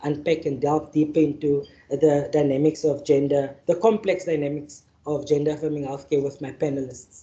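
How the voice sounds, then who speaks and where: The speaker talks at a moderate pace with a South African accent. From Northern Cape, South Africa. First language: Afrikaans. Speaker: activist and panel facilitator. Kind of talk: keynote address and panel introduction. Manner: halting, with fillers and repetitions.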